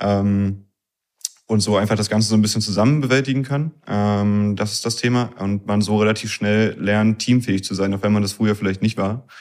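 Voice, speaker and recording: Speaking at a moderate pace, a man shows a slight northern German accent. His fairly low pitch carries fairly even intonation. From Berlin area, Germany. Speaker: engineering student. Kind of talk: interview.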